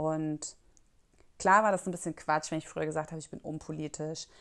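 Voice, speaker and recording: A fairly quick delivery from a woman with a very deep, low pitch. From rural Germany. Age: 30s. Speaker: podcast host. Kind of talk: solo podcast monologue. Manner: hesitant, many fillers.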